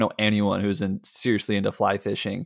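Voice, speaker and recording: His voice sits at a medium pitch. The recording is dry and close, without any echo. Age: 20s. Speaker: copywriter. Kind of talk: casual chat. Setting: remote call. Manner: halting, many fillers and restarts.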